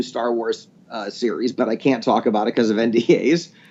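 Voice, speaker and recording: Using a plain, everyday voice, a man talks at a moderate pace and his intonation is lively. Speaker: voice actor. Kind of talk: interview answer. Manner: casual, storytelling.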